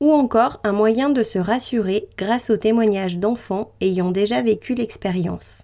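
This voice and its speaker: At a fairly slow pace, a woman speaks with a fairly high pitch, ordinary pitch variation and a dark, mellow tone. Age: 20s. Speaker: podcast host and travel writer. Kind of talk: scripted narration.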